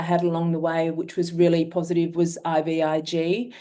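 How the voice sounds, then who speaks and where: A woman talks at a fairly quick pace in a fairly low pitch. Her tone is dark and mellow. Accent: Australian. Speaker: myeloma patient. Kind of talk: testimony.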